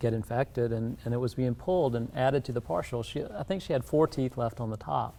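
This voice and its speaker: Speaking very fast with a South Carolina accent, a man uses a medium pitch, a dark, mellow tone and ordinary pitch variation. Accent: South Carolina Southern. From US South, South Carolina low country. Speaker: dentist. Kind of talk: interview. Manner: calm, low-key.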